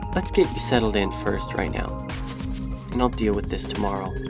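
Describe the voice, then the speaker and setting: A man's voice with music in the background. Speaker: fan fiction narrator. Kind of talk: dramatic audiobook reading.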